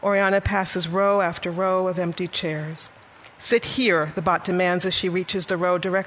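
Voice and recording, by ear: Intonation stays fairly even as someone reads aloud in a natural voice.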